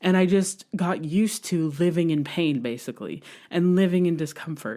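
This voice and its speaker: A woman's dark, mellow tone comes through in a very clean recording with a silent background. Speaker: podcast host. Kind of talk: personal monologue. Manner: casual, conversational.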